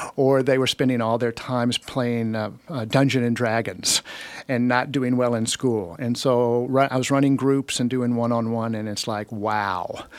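With an American accent, a man has an unremarkable speaking voice at medium pitch, talking at a moderate pace with fairly even intonation. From Alabama, US South. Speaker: retired human resources professional. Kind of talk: casual interview chat. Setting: radio studio.

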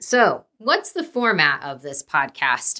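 In a Midwestern American accent, a woman speaks with a bright, sharp tone. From Dayton, Ohio. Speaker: podcast host, nonprofit director. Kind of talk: casual solo podcast intro. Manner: chatty, with many fillers.

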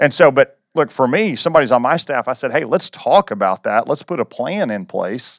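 A man talks in an ordinary speaking voice at a fairly quick pace, with lively intonation and a dry, close sound that has no echo. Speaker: campus pastor. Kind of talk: casual discussion.

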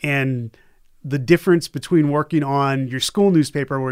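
In an American accent, a man with a plain, everyday voice speaks fairly quickly at medium pitch with fairly even intonation, the sound dry and close with no echo on a very clean recording with a silent background. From US Northeast, Boston area. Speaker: journalism lecturer. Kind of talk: casual interview.

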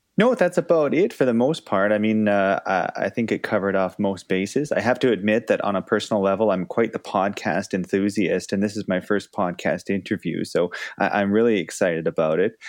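In an unremarkable speaking voice with a Canadian accent, the speaker goes at a fairly quick pace with hardly any pauses and ordinary pitch variation over a quiet background. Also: man, fairly low pitch for a man. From Canada. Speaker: clinical pharmacist and researcher. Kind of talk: interview.

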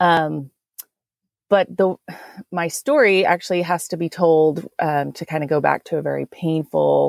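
The woman has an American accent. Her voice sounds dry and close, with no echo. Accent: Texan, thicker around grandmother. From Texas. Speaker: interior designer and shop owner. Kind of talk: interview conversation.

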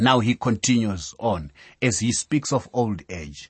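A man speaks at a fairly slow pace, his voice fairly low in pitch and somewhat breathy. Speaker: Bible teacher. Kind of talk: sermon-style Bible lecture. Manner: formal, teaching.

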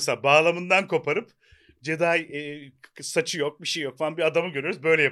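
A man's fairly high voice, fairly quick and fairly even in intonation, on a very clean recording with a silent background. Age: 40s. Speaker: podcast co-host. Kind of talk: casual chat. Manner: hesitant with fillers.

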